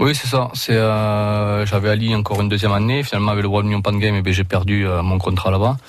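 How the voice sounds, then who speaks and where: With a southern French accent, a man of fairly low pitch talks at a very fast pace with hardly any pauses and very even loudness. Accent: southern French accent in his English. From southern France. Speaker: rugby league player. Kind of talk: radio interview. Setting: radio studio.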